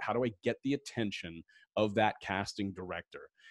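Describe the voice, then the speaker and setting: Ordinary pitch variation marks this man's speech. The sound is dry with no echo, over a quiet background. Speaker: livestream interview host. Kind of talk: live Q&A interview. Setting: livestream video. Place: home room. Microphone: studio mic.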